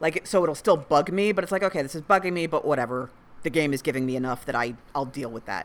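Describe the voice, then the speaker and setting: A woman talks at a very fast pace with lively intonation and a very deep, low pitch. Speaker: podcast co-host. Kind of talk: casual banter.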